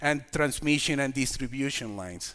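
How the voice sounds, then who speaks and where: This man has a bright, sharp tone and a fairly high pitch. He talks with a Puerto Rican accent. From Puerto Rico. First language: Spanish. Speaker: community organization leader. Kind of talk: lecture. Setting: stage with audience. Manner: halting.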